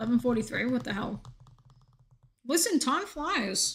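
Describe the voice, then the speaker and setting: A woman with a slight Australian accent speaks at a fairly slow pace in a high pitch. Her tone is animated, with lively intonation. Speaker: video game streamer. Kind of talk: casual chat.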